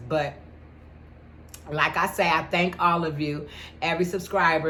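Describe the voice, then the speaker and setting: A woman with fairly even intonation, amid audible room echo and noticeable background noise. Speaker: YouTuber and caterer. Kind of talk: casual vlog talk.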